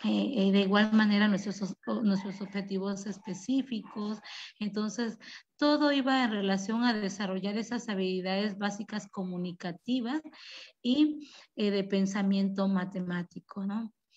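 A woman at medium pitch, somewhat breathy, fairly slow, with ordinary pitch variation and a quiet background. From La Chinantla, Oaxaca, Mexico; Oaxaca, Mexico. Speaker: rural school teacher and principal; teacher presenting school project. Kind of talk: presentation. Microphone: video call.

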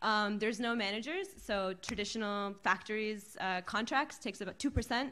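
A woman speaks with a bright, sharp tone at a fairly high pitch. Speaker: fashion activist and writer. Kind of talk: panel discussion. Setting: stage with audience. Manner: animated, casual. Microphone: podium.

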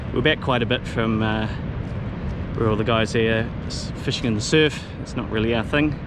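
Over noticeable background noise, a man speaks at a fairly quick pace. His pitch variation is ordinary, and the sound is dry with no echo. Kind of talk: casual vlog chat. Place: waterside. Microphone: phone near.

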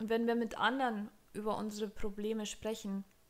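We hear a woman. Her pace stays moderate. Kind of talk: advice vlog talk. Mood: warm, encouraging. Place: home room. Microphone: studio mic.

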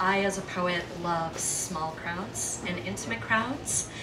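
Noticeable background noise behind a woman's speech. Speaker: poet performer. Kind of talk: spoken word introduction to audience. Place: stage. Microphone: handheld.

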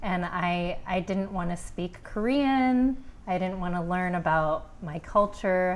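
A woman speaks at a fairly slow pace and medium pitch. Her pitch varies in an ordinary way. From Pittsburgh, US. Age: 40s. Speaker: author and life coach. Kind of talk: interview. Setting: studio. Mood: warm, smiling, open. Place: studio. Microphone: lapel.

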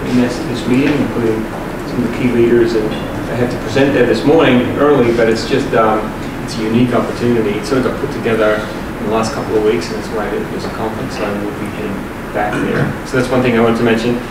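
A man talks at a very fast pace over loud background noise, with audible room echo. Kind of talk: meeting remarks. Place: meeting room. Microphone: camera far.

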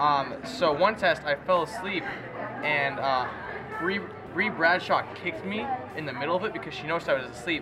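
With music playing in the background, a man speaks at a fairly quick pace. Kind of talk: casual storytelling. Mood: amused, self-deprecating. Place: hall. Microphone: phone near.

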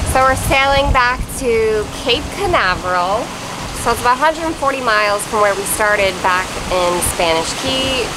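A woman speaks at a moderate pace. Noticeable background noise can be heard. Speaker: sailing vlogger. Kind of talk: casual vlog chat. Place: boat. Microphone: phone near.

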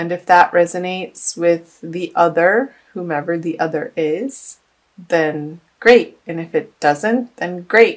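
The woman speaks at a very slow pace with a fairly low pitch and ordinary pitch variation. Her loudness swings widely. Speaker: tarot reader. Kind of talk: tarot reading monologue. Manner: clears throat often.

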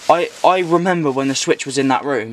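Very fast delivery with ordinary pitch variation and a dry, echo-free sound. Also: man. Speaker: vlogger. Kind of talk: casual vlog chat. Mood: nervous, excited. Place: home room. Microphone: phone near.

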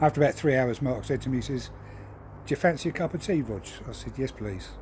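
A man speaks very fast in a dark, mellow tone, somewhat breathy, over light background noise. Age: 50s. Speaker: lorry driver. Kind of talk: video monologue. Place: garden. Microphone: phone near.

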